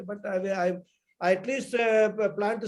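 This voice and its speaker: A man with a Tamil accent, high in pitch, at a fairly quick pace. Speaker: spiritual teacher. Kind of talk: online class discussion.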